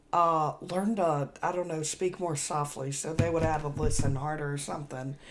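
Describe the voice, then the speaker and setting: This woman's voice is very deep and low, with fairly even intonation. She talks at a moderate pace with hardly any pauses, and music plays in the background. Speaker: podcast co-host, former correctional officer. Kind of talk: casual chat.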